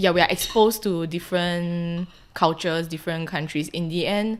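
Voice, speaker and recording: A woman speaks with a Singaporean accent. Her pitch is fairly low and her pace moderate. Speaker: podcast guest, Singaporean migrant. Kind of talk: casual chat.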